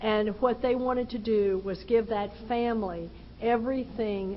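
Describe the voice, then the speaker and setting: A woman speaks at a medium pitch with a Texan accent. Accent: Texan Southern US. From Texas. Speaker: recovery speaker. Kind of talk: personal testimony talk.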